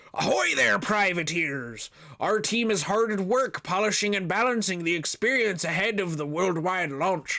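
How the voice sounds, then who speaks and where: A man uses a put-on character voice at a high pitch. He speaks at a moderate pace. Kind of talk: company statement read aloud in jest. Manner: playful, swashbuckling.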